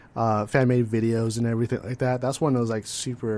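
A man with an American accent talks at a fairly quick pace in a medium pitch. He has a plain, everyday voice. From California. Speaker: podcast co-host. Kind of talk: casual chat.

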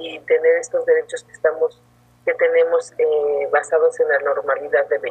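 A woman talks at a moderate pace. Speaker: feminist lawyer and workshop teacher. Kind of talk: interview. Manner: halting, many fillers.

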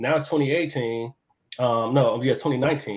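At a moderate pace, a man with a fairly high pitch uses an ordinary speaking voice on a very clean recording with a silent background. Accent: American. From Chicago West Side, US. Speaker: chef and architect. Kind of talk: casual podcast interview. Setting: live video stream.

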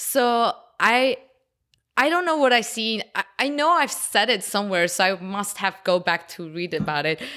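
Her tone bright and sharp, a woman speaks with very wide pitch swings. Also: medium pitch for a woman, moderate pace. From Armenia, raised in Los Angeles from age ten. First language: Armenian and Russian. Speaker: visual artist. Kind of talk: interview.

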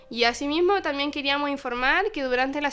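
A woman speaks at a fairly quick pace, her pitch high. Music plays in the background. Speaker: university student radio host. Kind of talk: casual chat.

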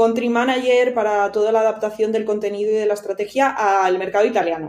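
Fairly even intonation and a fairly quick pace from an unremarkable speaking voice. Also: woman. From Spain, Cantabria (Santander). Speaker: marketing director. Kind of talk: interview.

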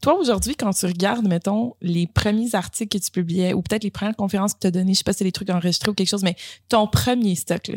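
A woman's somewhat breathy voice in a Quebec accent, very fast, with ordinary pitch variation, on a very clean recording with a silent background and a dry, close sound free of echo. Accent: Québécois French. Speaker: podcast host. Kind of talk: casual chat.

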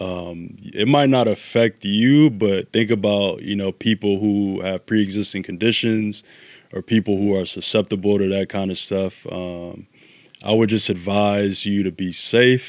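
Someone with an American accent and a plain, everyday voice speaks fairly slowly with fairly even intonation on a very clean recording with a silent background. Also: man, fairly low pitch for a man. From Chicago. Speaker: podcast co-host. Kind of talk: casual chat.

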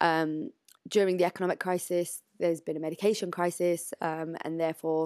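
On a very clean recording with a silent background and a dry, close sound with no echo, a woman with a British accent and a fairly low pitch speaks at a fairly quick pace in a monotone, flat intonation. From UK. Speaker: charity director. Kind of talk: interview. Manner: hesitant, many fillers.

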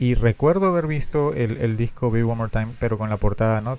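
A man's medium-pitched voice moves at a very fast speed, with pitch that varies in an ordinary way. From Peru. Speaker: podcast host, fan collector. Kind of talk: casual solo podcast monologue. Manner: halting, with frequent fillers and repetitions.

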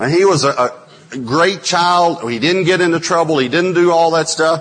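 At a moderate pace, a man with a fairly high pitch talks with lively intonation. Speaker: preacher. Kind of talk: sermon. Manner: animated.

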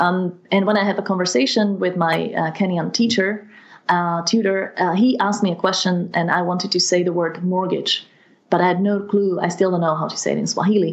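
Speaking in a Slovak accent, a woman keeps a medium pitch and fairly even intonation at a fairly quick pace. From Slovakia. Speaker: language mentor. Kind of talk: interview.

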